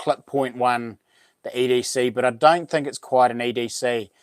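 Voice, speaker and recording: A man with a New Zealand accent, at a fairly slow pace with fairly even intonation. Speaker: YouTuber and knife maker. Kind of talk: live stream chat. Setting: live stream. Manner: halting.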